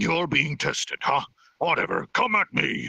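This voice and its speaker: A man's raspy, put-on character voice, high in pitch, at a moderate pace, with a dry, close sound and no echo. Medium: read story. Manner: curt, businesslike.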